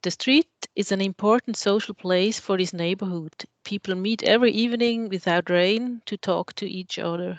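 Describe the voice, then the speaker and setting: A woman with a Swiss German accent shows ordinary pitch variation, recorded in a dry, close sound with no echo against a quiet background. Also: medium pitch for a woman, moderate pace. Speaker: architect. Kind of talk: lecture.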